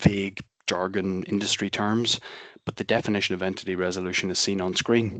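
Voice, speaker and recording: Speaking at a fairly quick pace, a man with a Belfast accent has a fairly low pitch. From Northern Ireland, Belfast. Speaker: software company presenter. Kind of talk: webinar presentation. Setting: online webinar.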